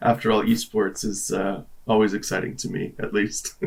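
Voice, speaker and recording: A man puts on a raspy character voice at a medium pitch. He moves at a moderate pace. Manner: trying not to sound monotone or dull.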